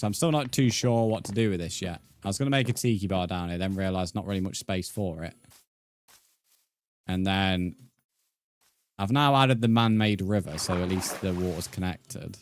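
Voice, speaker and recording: In a very clean recording with a silent background, a man with a British accent talks at a fairly quick pace in a fairly low pitch, leaving long, frequent pauses. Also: ordinary pitch variation. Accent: British, often mistaken for Australian. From England. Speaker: gaming streamer. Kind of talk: live stream chat while gaming. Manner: casual, halting with fillers.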